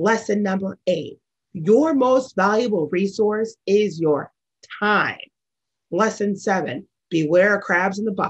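A woman's medium-pitched voice with an American accent at a fairly slow pace. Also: ordinary pitch variation, quiet background. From US Midwest, St. Louis suburbs, Missouri; Missouri. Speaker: sales executive. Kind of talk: keynote speech. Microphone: webcam.

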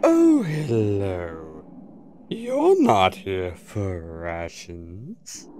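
In a cartoonish character voice, the speaker talks very slowly at a low pitch. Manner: theatrical, eerie salesman pitch.

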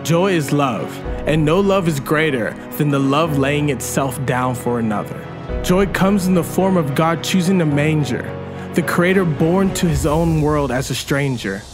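Against clear music in the background, a man with a fairly high pitch speaks at a moderate pace with ordinary pitch variation. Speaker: spoken word poet. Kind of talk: spoken word poetry performance. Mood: earnest, reverent, hopeful. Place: open country.

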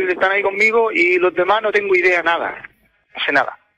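A high-pitched man uses a raised, projected voice at a moderate pace. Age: 40s. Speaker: caller, farm worker. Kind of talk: phone-in confession.

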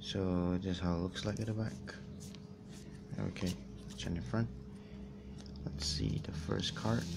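A soft-spoken man with a very deep, low pitch, lively intonation and very even loudness, at a fairly slow pace with long, frequent pauses, against loud background noise. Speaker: YouTuber doing a box opening. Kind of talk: casual talk to camera. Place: home room. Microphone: phone near.

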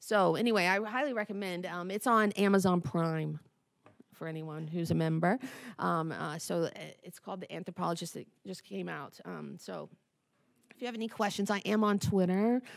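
In an American accent, a woman talks at medium pitch with big swings in loudness. The background is quiet. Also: ordinary pitch variation, moderate pace. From West Virginia, between Charleston and Huntington. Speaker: science education professor. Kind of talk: conference talk. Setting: stage with audience. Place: hall. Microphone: podium.

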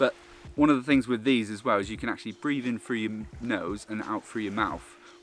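A man talks with ordinary pitch variation. Faint music plays in the background. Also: dry sound with no echo. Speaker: snorkelling instructor vlogger. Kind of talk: tutorial. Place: beach. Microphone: phone near.

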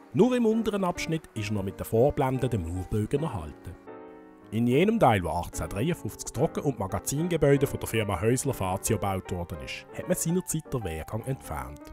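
Music plays in the background as a man with a Basel accent talks at a fairly quick pace. His medium-pitched voice has very wide pitch swings. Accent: Basel Swiss German dialect. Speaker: local history guide. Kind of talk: historical walking-tour narration.

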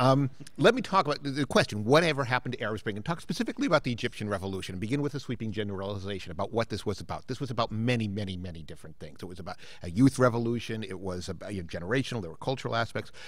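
A man rattles along at a very fast pace with hardly any pauses, his intonation lively and his loudness swinging widely, all in a dry sound with no echo. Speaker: political science professor. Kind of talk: panel discussion talk. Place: hall.

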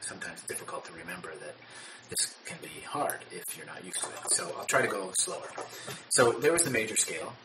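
Loud background noise runs beneath speech delivered at a very fast pace. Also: man. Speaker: trumpet teacher. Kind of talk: tutorial. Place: home room. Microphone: phone near.

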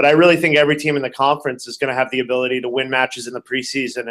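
A man speaks with a Canadian accent at a medium pitch. His intonation is monotone and flat, over a quiet background. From Canada, Toronto. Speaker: college volleyball coach. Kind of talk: interview. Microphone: webcam.

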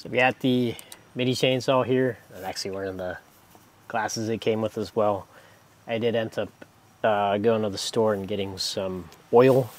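With an ordinary speaking voice, a man talks at a moderate pace in a fairly low pitch, his intonation fairly even and the sound dry with no echo. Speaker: tool reviewer. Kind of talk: tutorial. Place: garden.

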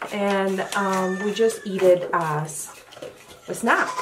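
Noticeable background noise runs under the recording. The woman speaking shows ordinary pitch variation. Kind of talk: casual vlog chat. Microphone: phone near.

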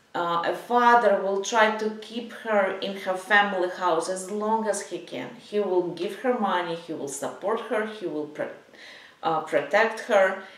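The speech moves at a fairly slow pace with ordinary pitch variation. There is audible room echo. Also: woman. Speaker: psychology coach. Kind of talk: advice talk to camera. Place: home room.

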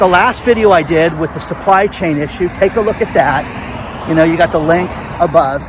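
Over noticeable background noise, a man speaks at a high pitch with ordinary pitch variation. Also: dry sound with no echo. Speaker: vlogger. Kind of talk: casual vlog commentary. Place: street. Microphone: phone near.

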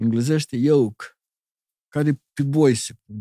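Against a quiet background, a man speaks at a very slow pace in a dark, mellow tone, the sound dry with no echo. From Moldova, Chișinău; Moldova. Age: 70s. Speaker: illustrator and architect; guest. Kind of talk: interview conversation. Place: studio. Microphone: studio mic.

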